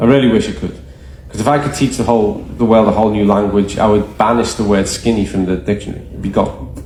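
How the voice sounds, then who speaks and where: A man talks very fast with lively intonation and a fairly low pitch. The room echo is audible and the background noise is noticeable. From Ireland. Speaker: nutrition educator. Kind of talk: presentation to a live group. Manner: animated.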